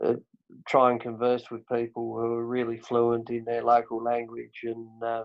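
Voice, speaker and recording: A man with a Tasmanian accent, medium pitch, moderate pace and monotone, flat intonation. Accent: Tasmanian, broad. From Tasmania, Australia. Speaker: podcast host. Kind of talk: casual chat.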